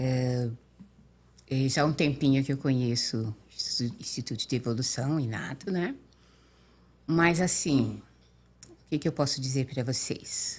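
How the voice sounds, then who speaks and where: The voice is somewhat breathy, moving at a fairly slow pace with long, frequent pauses and ordinary pitch variation. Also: woman, very deep, low pitch for a woman. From São Paulo state, Brazil (Limeira). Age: 60s. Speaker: interview guest. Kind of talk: podcast interview. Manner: halting.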